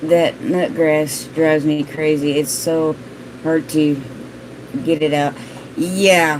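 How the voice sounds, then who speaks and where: A woman with a very deep, low pitch and monotone, flat intonation at a very slow pace, with long, frequent pauses and noticeable background noise. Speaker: gardening vlogger. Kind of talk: live stream chat reading viewer comments. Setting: live stream.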